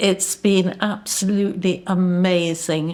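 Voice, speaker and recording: Speaking very slowly, a woman with an English accent uses a fairly low pitch. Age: 80s+. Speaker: patient sharing her experience. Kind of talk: testimony.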